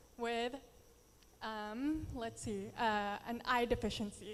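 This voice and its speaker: A woman speaks with a Filipino accent at a fairly high pitch. Her pace is fairly slow and her intonation fairly even. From Philippines and US. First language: Tagalog. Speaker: beauty pageant contestant. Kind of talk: prepared speech.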